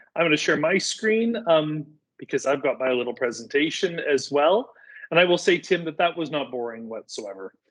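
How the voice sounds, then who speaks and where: A fairly quick man's voice in a Canadian accent, fairly high in pitch, with very wide pitch swings. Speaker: digital communications volunteer presenter. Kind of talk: online workshop presentation. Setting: video call. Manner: energetic.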